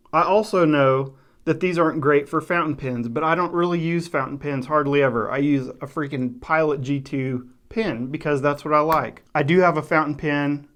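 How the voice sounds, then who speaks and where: A man with an American accent, fairly high-pitched, fairly even in intonation, with hardly any pauses over a quiet background. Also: moderate pace. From West Texas. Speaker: faith and journaling YouTuber. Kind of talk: casual talk to camera. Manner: conversational, with fillers.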